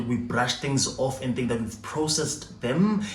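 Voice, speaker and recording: A man speaks at a moderate pace with a fairly high pitch. Noticeable background noise and audible room echo fill the recording. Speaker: YouTuber. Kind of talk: storytime monologue. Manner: halting.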